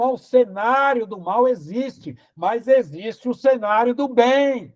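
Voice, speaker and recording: Extremely high-pitched with ordinary pitch variation, a man talks very slowly while his loudness swings widely. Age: 60s. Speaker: pastor. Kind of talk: sermon.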